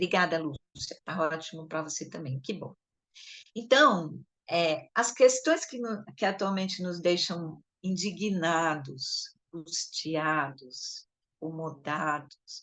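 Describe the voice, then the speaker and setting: Her pitch fairly low, a woman speaks at a very slow pace with ordinary pitch variation. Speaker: education supervisor coordinating a study session. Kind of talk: lecture.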